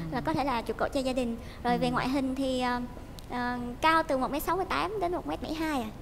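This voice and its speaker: With a Southern Vietnamese accent, a woman speaks at a moderate pace in a high pitch with lively intonation over light background noise. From southern Vietnam, Cà Mau (Mekong Delta). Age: 20s. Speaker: dating show contestant, high school teacher. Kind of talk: TV dating show conversation. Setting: studio with audience. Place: studio.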